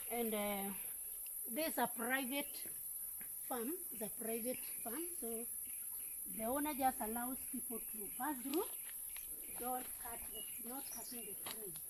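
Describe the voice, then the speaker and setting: A high-pitched woman's voice with ordinary pitch variation and long, frequent pauses over noticeable background noise. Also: fairly slow pace, big swings in loudness. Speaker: retired teacher. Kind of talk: casual walking vlog talk to camera. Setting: outdoors.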